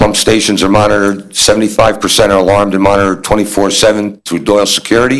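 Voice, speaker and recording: A man at a very fast pace, fairly low pitch, monotone and flat, with very even loudness and noticeable background noise. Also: hardly any pauses. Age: 60s. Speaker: municipal sewer department supervisor. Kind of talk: presentation at town board meeting. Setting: town board meeting room.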